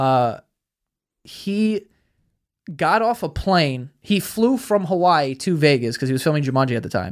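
A man with a New York accent talks at a moderate pace and a fairly high pitch. His pitch swings very widely, and he leaves long, frequent pauses. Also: very clean recording, silent background. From Queens, New York (Astoria). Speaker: podcast host and YouTuber. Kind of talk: casual chat.

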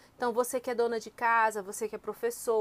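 High-pitched and at a fairly quick pace, a woman speaks in a dry, close sound with no echo. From Northeast Brazil, Fortaleza (Ceará). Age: 30s. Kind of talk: interview. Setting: in person at mission house.

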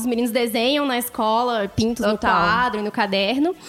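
There is noticeable background noise behind the speaker. A woman talks in a high voice. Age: 20s. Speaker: professional storyteller. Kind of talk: casual chat.

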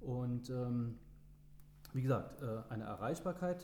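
Room echo is audible as a man speaks at a very slow pace and medium pitch with lively intonation. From Germany, Trier (Rhineland-Palatinate). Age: 40s. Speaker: local politics candidate and restaurant owner. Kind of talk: podcast interview. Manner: hesitant with fillers.

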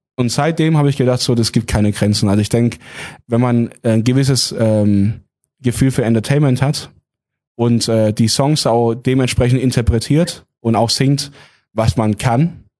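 A man speaks in a dark, mellow tone at a very even loudness. The background is quiet. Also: medium pitch for a man, ordinary pitch variation, moderate pace. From Heilbronn area, Baden-Württemberg. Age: 20s. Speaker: singer. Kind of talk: casual interview.

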